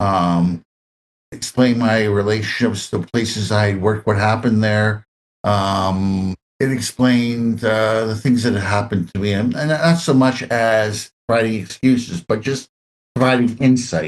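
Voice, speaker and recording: The speaker has a Canadian accent. The pace is moderate, with ordinary pitch variation. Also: man, fairly low pitch for a man. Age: 60s. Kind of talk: interview. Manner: halting.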